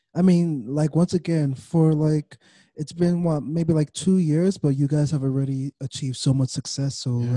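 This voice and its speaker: A man's dark, mellow, somewhat breathy voice at a moderate pace, fairly even in intonation, dry and close with no echo, in a very clean recording with a silent background. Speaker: interviewer. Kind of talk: casual interview.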